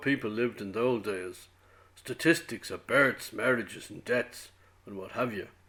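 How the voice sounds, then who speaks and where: On a very clean recording with a silent background, a man talks at a moderate pace in a Dublin accent. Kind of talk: prose monologue reading.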